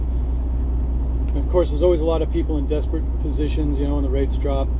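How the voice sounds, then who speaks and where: A man talks at a fairly quick pace in a very deep, low pitch with monotone, flat intonation. Noticeable background noise runs underneath. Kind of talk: casual vlog chat. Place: car. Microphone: phone near.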